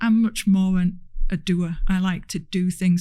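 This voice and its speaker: With a Hull accent, a woman speaks in a fairly low, somewhat breathy voice of dark, mellow tone. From northern England, Hull. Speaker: transport industry executive. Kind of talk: podcast interview.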